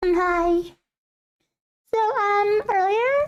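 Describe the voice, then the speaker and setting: The pitch here is extremely high. It's a put-on character voice. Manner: cute.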